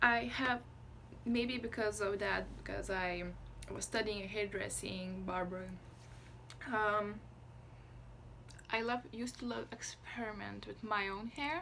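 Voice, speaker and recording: A woman with a Lithuanian accent talks at a fairly slow pace, leaving long, frequent pauses. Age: 20s. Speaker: vlogger. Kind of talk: casual chat. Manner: halting, stops mid-sentence.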